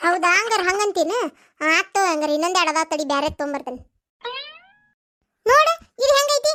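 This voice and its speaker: A cartoonish character voice, female-sounding, extremely high-pitched for a woman, at a fairly slow pace. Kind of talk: village comedy cartoon dialogue.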